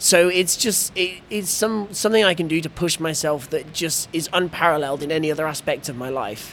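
In an English accent, a man with a high pitch talks at a fairly quick pace. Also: ordinary pitch variation. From Oxford, England. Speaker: blind ice hockey player. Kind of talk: interview, casual conversation. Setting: hockey festival venue.

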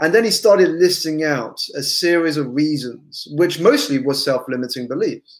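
With an English accent, a man speaks at a moderate pace in a high pitch with lively intonation, in a very clean recording with a silent background. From England. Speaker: business coach. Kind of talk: interview.

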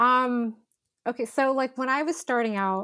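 A woman with a West Coast American accent speaks at a moderate pace. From Northern California. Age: 30s. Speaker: outdoor and cycling photographer. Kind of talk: casual interview conversation. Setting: video call. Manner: casual, many fillers like um and like.

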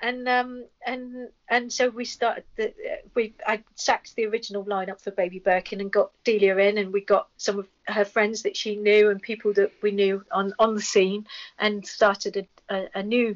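In an English accent, a woman speaks at a moderate pace and a fairly high pitch with monotone, flat intonation. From England. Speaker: rock singer and comics artist. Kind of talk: casual chat.

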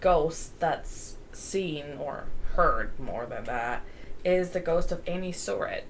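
A woman speaking very slowly, with audible room echo and noticeable background noise. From Germany. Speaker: podcast co-host. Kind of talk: casual chat.

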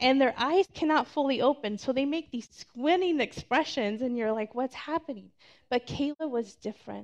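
With a high pitch and ordinary pitch variation, a woman talks at a moderate pace in a dry, close sound with no echo. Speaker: churchgoer sharing testimony. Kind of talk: testimony.

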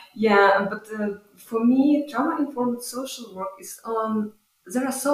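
A woman with a Ukrainian accent speaks with ordinary pitch variation. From Ukraine. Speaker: visiting social work scholar. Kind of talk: interview. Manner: halting.

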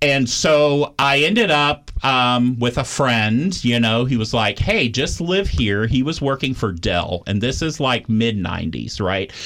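This man has an unremarkable speaking voice with a medium pitch and an American accent. His intonation is lively, and he hardly pauses. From Austin, Texas. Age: 40s. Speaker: addiction recovery center staff. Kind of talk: interview. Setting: studio.

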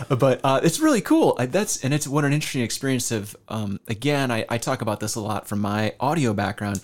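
At a fairly quick pace with hardly any pauses, a man with a plain, everyday voice speaks at a medium pitch with ordinary pitch variation. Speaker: podcast host. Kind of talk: casual interview.

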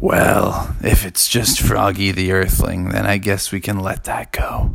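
A man uses a put-on character voice that is raspy and very deep and low, at a fairly slow pace. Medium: read story.

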